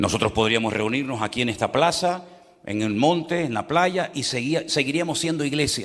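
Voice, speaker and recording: A man's fairly high voice with lively intonation at a moderate pace, amid noticeable background noise. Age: 60s. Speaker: pastor. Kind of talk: sermon.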